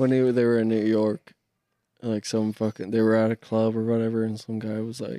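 Recorded with a dry, close sound and no echo, a man with an ordinary speaking voice talks at a moderate pace and medium pitch with fairly even intonation. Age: 20s. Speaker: podcast co-host, tradesman. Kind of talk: casual chat. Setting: garage.

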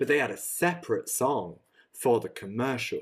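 A man with a British accent. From UK. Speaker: podcast co-host. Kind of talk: casual chat.

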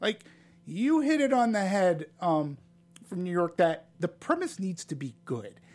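A man with a high pitch and an American accent at a moderate pace, lively intonation, and a very clean recording with a silent background. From Boston, US. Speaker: film critic. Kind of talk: casual chat.

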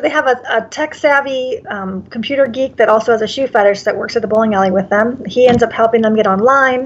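A woman speaks with a high pitch and ordinary pitch variation. Her pace is fairly quick. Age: 40s. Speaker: actress. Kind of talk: casual interview. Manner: halting, many fillers.

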